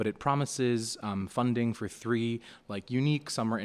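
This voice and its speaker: A man's pitch moves in an ordinary way in this very clean recording with a silent background. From Nepal, moved to New York at about eight. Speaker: student leader. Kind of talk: podcast interview. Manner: hesitant, many fillers and repeats.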